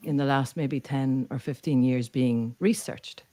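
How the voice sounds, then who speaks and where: In an Irish accent, a woman speaks at a fairly slow pace with a very deep, low pitch, a dark, mellow tone and ordinary pitch variation. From Ireland. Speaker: neuro-culture communication coach. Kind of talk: podcast interview.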